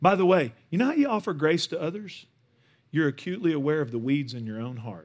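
A man with a Texan accent speaks at a fairly quick pace, his pitch fairly high and his intonation lively. His loudness swings widely and his pauses are long and frequent. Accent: Texan Southern US. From Northeast Texas. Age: 40s. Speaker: guest pastor. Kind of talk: sermon. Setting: church stage with audience.

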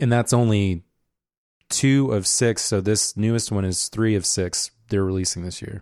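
In a very clean recording with a silent background and a dry, close sound with no echo, a man speaks at a moderate pace in an unremarkable speaking voice with ordinary pitch variation. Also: fairly low pitch for a man. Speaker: podcast host. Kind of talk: casual banter between co-hosts. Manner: joking, playful.

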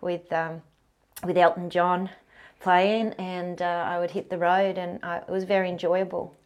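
Over a quiet background, a woman with a fairly low pitch and an Australian accent speaks at a fairly slow pace in a monotone, flat intonation. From Australia, Canberra. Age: 50s. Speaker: professional kitesurfer and mountain guide. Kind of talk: interview conversation.

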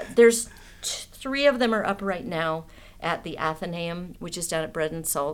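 Fairly low in pitch, a woman uses a normal speaking voice at a moderate pace, with lively intonation and big swings in loudness. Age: 50s. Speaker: artist and political activist. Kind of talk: casual chat.

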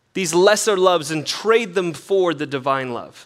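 A man with a high-pitched voice, ordinary pitch variation and a moderate pace. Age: 30s. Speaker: pastor. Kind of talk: sermon. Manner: casual, halting with fillers.

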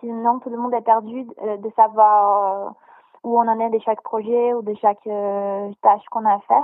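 The woman's voice sits at a fairly high pitch, with monotone, flat intonation. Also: fairly slow pace. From Brazil. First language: Portuguese (speaking French). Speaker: content creator. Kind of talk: interview.

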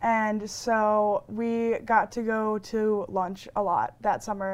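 In a very clean recording with a silent background, a woman with an American accent speaks at a fairly high pitch in a monotone, flat way. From Milwaukee, Wisconsin. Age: 20s. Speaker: interviewee. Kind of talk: testimony.

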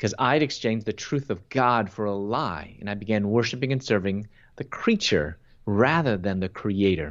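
Lively in intonation, a man with a normal speaking voice and an American accent talks at a fairly low pitch and moderate pace. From US Midwest, Chicago. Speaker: Bible teacher and speaker. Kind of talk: interview with personal testimony.

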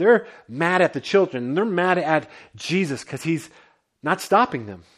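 Speaking at a moderate pace with lively intonation, a man has a fairly high pitch and an unremarkable speaking voice. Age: 40s. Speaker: pastor. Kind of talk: sermon. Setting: home basement.

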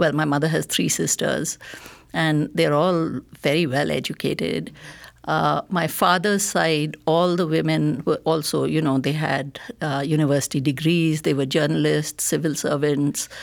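Over a very clean recording with a silent background, a woman with a very deep, low voice and vocal fry talks at a moderate pace, her loudness very even and her intonation fairly even. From India, grew up in Bengal region. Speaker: novelist. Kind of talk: interview. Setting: studio.

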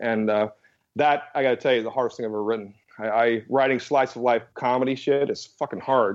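Speaking with an American accent at a fairly quick pace, a man has an unremarkable speaking voice of medium pitch and fairly even intonation. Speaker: comics writer and publishing executive. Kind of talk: casual interview chat.

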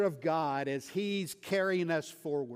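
Using ordinary pitch variation, a man talks with an American accent. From West Texas. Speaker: missionary preacher. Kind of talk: sermon. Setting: church.

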